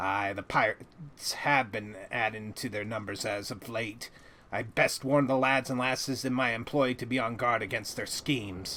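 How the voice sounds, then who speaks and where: A man puts on a character voice at a medium pitch. He keeps to a moderate pace. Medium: video game. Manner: hearty, folksy, nautical idiom.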